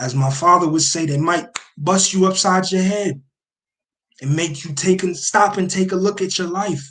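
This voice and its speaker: This man speaks at a moderate pace in a high pitch, with ordinary pitch variation. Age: 20s. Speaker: podcast host. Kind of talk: motivational monologue. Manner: animated.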